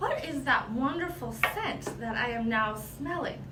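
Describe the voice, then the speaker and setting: A woman speaks in a raised, projected voice at a fairly slow pace. The room echo is audible and the background noise is noticeable. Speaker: product trainer. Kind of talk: tutorial. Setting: livestream video.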